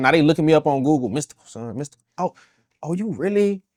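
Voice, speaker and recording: In a Louisiana accent, a man talks at a fairly quick pace with a fairly high pitch and lively intonation, in a very clean recording with a silent background and a dry, close sound with no echo. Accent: Southern US, Louisiana. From Baton Rouge, Louisiana. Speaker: rapper, independent artist. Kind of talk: interview answer. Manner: casual, conversational.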